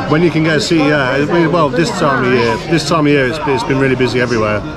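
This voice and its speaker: A man talking at a very fast pace with ordinary pitch variation over music in the background. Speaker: travel vlogger. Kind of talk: casual vlog chat. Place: bar. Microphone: phone near.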